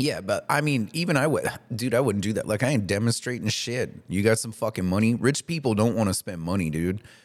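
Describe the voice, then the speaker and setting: A man with a plain, everyday voice talks at a fairly quick pace and medium pitch, using lively intonation and hardly any pauses. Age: 30s. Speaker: podcast co-host. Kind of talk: casual chat.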